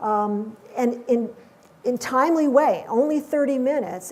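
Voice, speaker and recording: Audible room echo around a woman's high-pitched, dark, mellow voice with ordinary pitch variation. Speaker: business workshop instructor. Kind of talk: lecture.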